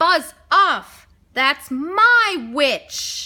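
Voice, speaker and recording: Putting on a character voice, a woman projects in an extremely high, shrill register that is croaky and growling. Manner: angry, abrasive.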